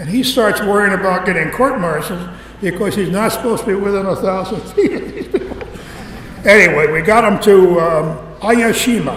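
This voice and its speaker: Against noticeable background noise, a man with an American accent talks at a fairly quick pace in a high voice with ordinary pitch variation. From Connecticut, now North Carolina. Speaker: retired B-25 pilot and military veteran giving a museum talk. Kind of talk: live public talk to an audience, storytelling. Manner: conversational, humorous, with frequent hesitations.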